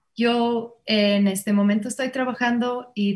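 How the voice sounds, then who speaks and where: A woman with an English accent speaks in a somewhat breathy voice at a moderate pace, keeping her intonation fairly even. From Ireland, Limerick. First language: English (speaking Spanish). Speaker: Alexander Technique teacher and singer. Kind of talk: panel discussion introduction. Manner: halting.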